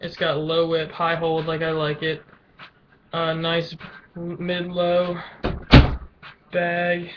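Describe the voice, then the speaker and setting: A man's high-pitched, flat monotone at a very slow pace, broken by long, frequent pauses, over noticeable background noise. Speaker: lacrosse player vlogger. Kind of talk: casual webcam show-and-tell. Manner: halting, stuttering.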